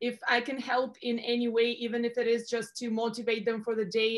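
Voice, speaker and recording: Energetic and fairly quick, a woman speaks with a Russian accent. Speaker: career advisor. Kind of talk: interview.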